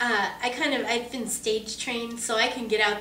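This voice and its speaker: Against noticeable background noise and audible room echo, a woman speaks at a moderate pace with an American accent. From Southern California, Orange County. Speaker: voice actress. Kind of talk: interview. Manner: casual, conversational.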